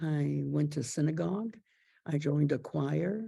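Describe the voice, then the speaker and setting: A woman speaks at a very slow pace. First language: French. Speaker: Holocaust survivor. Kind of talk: testimony. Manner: halting.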